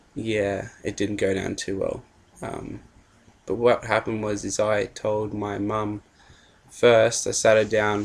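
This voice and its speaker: A man with an Australian accent speaks very slowly at a fairly low pitch, his intonation monotone and flat. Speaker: vlogger. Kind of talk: personal story vlog. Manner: hesitant, many fillers.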